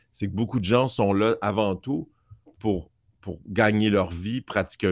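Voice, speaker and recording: On a very clean recording with a silent background, a man with a fairly low pitch talks at a fairly slow pace with ordinary pitch variation. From Montreal, Quebec (Outremont). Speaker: film sound designer and mixer. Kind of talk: interview. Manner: talkative.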